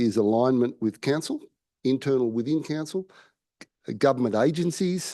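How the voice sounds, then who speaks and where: A man with an Australian accent and lively intonation, at a moderate pace over a quiet background. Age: 60s. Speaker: member of the public. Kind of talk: public forum address. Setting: council chamber. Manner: halting.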